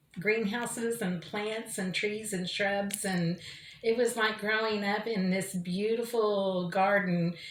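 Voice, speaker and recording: Ordinary pitch variation marks a voice with an American accent. Audible room echo surrounds it. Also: woman. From Oklahoma City. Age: 60s. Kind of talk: interview testimony. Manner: hesitant with fillers.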